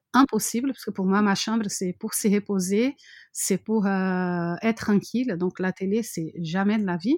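Fairly slow speech with fairly even intonation, dry and close with no echo, on a very clean recording with a silent background. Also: woman. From Brazil. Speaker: mother living abroad. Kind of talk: interview. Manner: halting, many fillers and repetitions.

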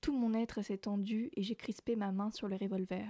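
A dark, mellow tone at a fairly slow pace, with fairly even intonation and a dry, close sound with no echo, in a very clean recording against a silent background. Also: woman. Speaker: radio host. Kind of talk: literary reading of a novel excerpt, then back to radio talk. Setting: radio studio.

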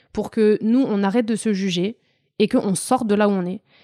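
The voice has a dark, mellow tone, recorded dry and close with no echo, very clean and over a silent background. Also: woman. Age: 20s. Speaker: coach. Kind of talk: interview.

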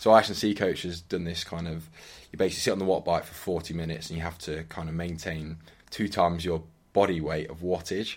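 A very deep, low-pitched man's voice, monotone and flat, at a very fast pace with big swings in loudness, in a very clean recording with a silent background. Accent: English. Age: 30s. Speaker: hockey player. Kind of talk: casual chat.

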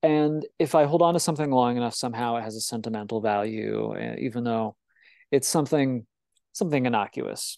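With an American accent, a man in an ordinary speaking voice talks at a fairly quick pace and medium pitch with ordinary pitch variation over a quiet background. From Illinois. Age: 20s. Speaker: webcomic creator. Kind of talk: interview. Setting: video call.

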